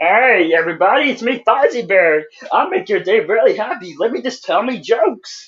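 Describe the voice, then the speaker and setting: Someone puts on a character voice, fairly high in pitch and at a moderate pace. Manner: bright, jokey.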